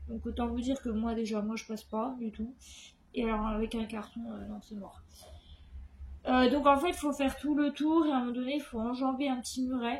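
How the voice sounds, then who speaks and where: The speaker moves at a moderate pace with ordinary pitch variation. Long, frequent pauses break up the speech. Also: woman, high pitch for a woman. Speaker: vlogger. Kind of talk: casual vlog talk. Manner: halting.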